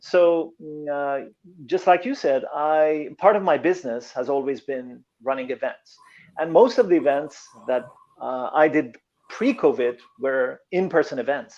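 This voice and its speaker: Speaking at a fairly slow pace with a non-native accent, a man uses a fairly high pitch and ordinary pitch variation. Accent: foreign. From Iran. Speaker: motivational speaker and coach. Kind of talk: interview.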